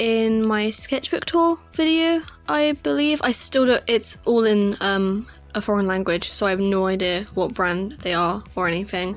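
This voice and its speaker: Music plays behind a woman who speaks at a medium pitch and a fairly slow pace. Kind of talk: casual talk to camera.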